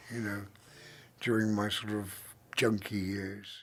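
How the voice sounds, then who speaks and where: Speaking with an English accent, a man keeps a fairly slow pace. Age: 70s. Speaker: retired DJ. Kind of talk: interview monologue. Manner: halting, many fillers.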